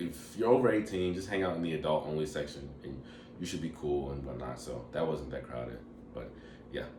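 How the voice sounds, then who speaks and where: Lively intonation carries at a moderate pace over audible room echo. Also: man. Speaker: travel vlogger. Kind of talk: casual travel review monologue. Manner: casual, filler-heavy.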